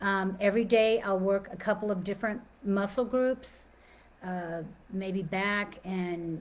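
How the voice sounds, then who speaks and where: A woman with an American accent speaks at medium pitch in a monotone, flat intonation. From Texas, Dallas. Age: 60s. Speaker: personal trainer and life coach. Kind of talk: informal talk / webinar presentation. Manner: casual, with many fillers and restarts.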